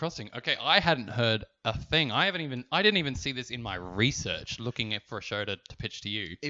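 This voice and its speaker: With an Adelaide accent, a man speaks at a medium pitch and a fairly quick pace, with hardly any pauses, lively intonation and big swings in loudness. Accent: posh Adelaide Australian. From Adelaide, Australia. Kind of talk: refined.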